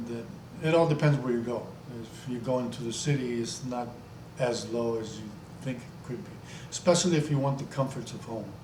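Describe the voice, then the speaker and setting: A man talks at a moderate pace and medium pitch with ordinary pitch variation. Audible room echo is present. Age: 60s. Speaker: travel vlogger. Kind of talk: casual monologue vlog. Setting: home video recording with green screen. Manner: halting.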